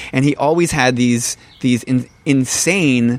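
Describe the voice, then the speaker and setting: A man with a medium pitch. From New Jersey. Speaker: musician. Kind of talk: casual chat. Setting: in person.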